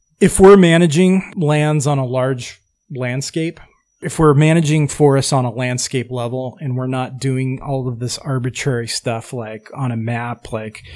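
On a very clean recording with a silent background, a man with an ordinary speaking voice talks at medium pitch and a moderate pace, with ordinary pitch variation. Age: 40s. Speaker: forestry nonprofit director. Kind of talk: casual interview.

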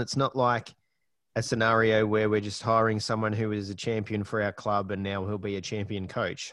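A man with an Australian accent, fairly low-pitched, at a fairly quick pace against a quiet background. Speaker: podcast host. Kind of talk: casual chat.

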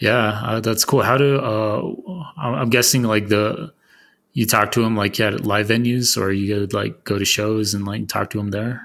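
A man with an American accent speaks at a moderate pace in a fairly low pitch, with ordinary pitch variation, on a very clean recording with a silent background. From Arizona. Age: 30s. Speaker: podcast host. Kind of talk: casual interview chat. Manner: halting.

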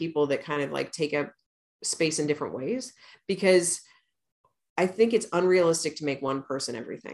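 A woman's fairly low, a normal speaking voice, fairly quick pace and ordinary pitch variation. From rural Missouri, US Midwest. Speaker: author and insurance firm founder. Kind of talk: interview.

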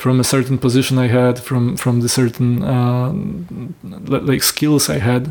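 A man with a Polish accent speaks at a fairly slow pace, keeping his loudness very even. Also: medium pitch for a man, ordinary pitch variation. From Poland. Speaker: film director and producer. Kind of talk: interview. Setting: host's home. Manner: halting.

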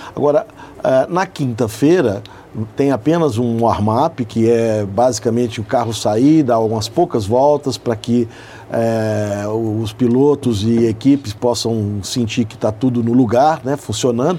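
The speaker talks at a fairly slow pace with ordinary pitch variation. Noticeable background noise runs under the voice. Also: man, medium pitch for a man. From Belo Horizonte, Brazil. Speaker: motorsport event organizer, company CEO. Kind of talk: radio interview. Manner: hesitant, many fillers.

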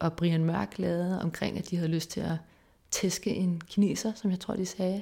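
Fairly slow and fairly low-pitched, a woman speaks with fairly even intonation and a dark, mellow tone. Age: 30s. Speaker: research assistant and lecturer. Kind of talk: casual interview.

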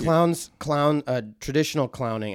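Heard in a very clean recording with a silent background, a man with an Upper Midwest accent comes across dry and close with no echo. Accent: Upper Midwest American. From Wisconsin, Mount Horeb near Madison. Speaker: stage actor. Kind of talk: interview conversation.

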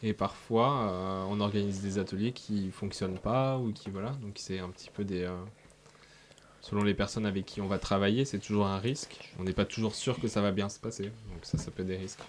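At a moderate pace, a man talks at a fairly low pitch with fairly even intonation. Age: 20s. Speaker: radio fundraising officer. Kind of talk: interview answering children's questions. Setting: radio studio. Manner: hesitant, many fillers.

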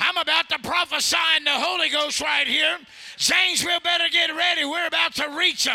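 Over noticeable background noise, a man shouts very fast at an extremely high pitch, in a monotone, flat delivery with very even loudness. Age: 50s. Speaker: traveling evangelist. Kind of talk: fiery Pentecostal revival sermon with call-and-response. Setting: church with congregation. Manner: folksy storytelling with laughter; loud, exhorting shouts urging the congregation on.

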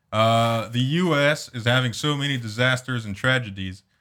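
A silent background sits behind a very clean recording. The voice has a bright, sharp tone and ordinary pitch variation. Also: man. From France. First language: French. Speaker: podcast host. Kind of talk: casual comedic chat. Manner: joking, profane, laughs often.

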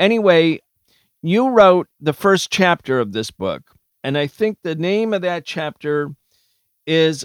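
An American accent with lively intonation at a fairly slow pace, in a dry, close sound with no echo, on a very clean recording with a silent background. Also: man. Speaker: podcast host. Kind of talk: political discussion.

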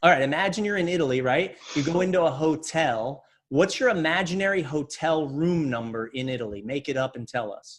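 Here is a normal speaking voice from a man with an American accent. He talks at a fairly quick pace. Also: fairly high pitch for a man, lively intonation. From Pennsylvania (Reading). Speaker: mentalist and illusionist. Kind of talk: casual interview chat.

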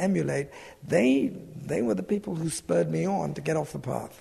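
A British accent comes through in speech delivered at a moderate pace. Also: man. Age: 70s. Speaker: businessman and adventurer. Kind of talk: reflective interview.

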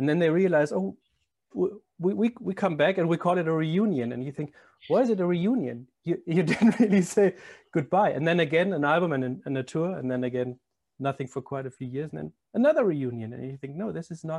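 This speaker has a German accent. The pace is fairly quick and the intonation lively. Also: man, fairly high pitch for a man. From Germany. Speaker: podcast host. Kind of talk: casual chat.

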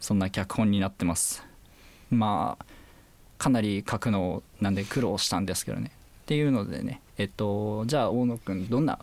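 This is a man with a plain, everyday voice, fairly low in pitch with ordinary pitch variation. He speaks at a moderate pace on a very clean recording with a silent background. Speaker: university student scriptwriter. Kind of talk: casual chat.

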